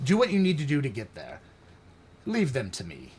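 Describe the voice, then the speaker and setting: Putting on a character voice, a man talks at a fairly quick pace and fairly high pitch, with very wide pitch swings. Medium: actual play. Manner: terse, clipped.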